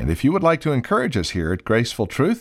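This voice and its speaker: Very wide pitch swings and vocal fry mark this man's voice, captured in a very clean recording with a silent background. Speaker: radio announcer. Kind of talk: radio announcement. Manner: formal, measured.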